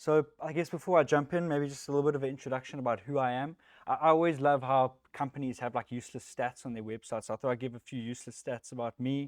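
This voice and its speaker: A man with a South African accent and a medium pitch talks very fast with hardly any pauses and fairly even intonation, in a dry, close sound with no echo and a quiet background. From South Africa, Johannesburg. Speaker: software technical lead, conference speaker. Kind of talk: tech talk. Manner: casual, with many fillers.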